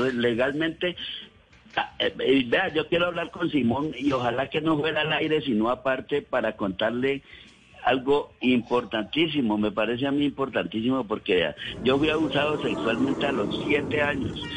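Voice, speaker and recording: A man talks in an ordinary speaking voice at a fairly high pitch for a man. His pace is moderate and his pitch varies in an ordinary way. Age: 60s. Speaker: caller. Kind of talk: testimony. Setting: phone call.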